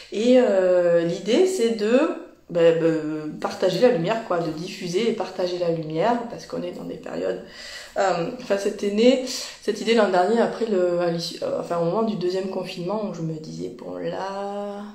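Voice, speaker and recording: A woman with a Toulouse accent speaks at medium pitch and a moderate pace with ordinary pitch variation and big swings in loudness. Audible room echo and noticeable background noise are present. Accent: southern French (Toulouse). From Toulouse region, southern France. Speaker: energy healer and journalist hosting live interviews. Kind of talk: livestream intro, casual. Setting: Instagram live. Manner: animated, many hesitations.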